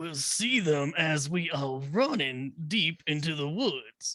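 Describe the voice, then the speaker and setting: A man puts on a character voice, talking fairly slowly at a fairly high pitch. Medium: actual play.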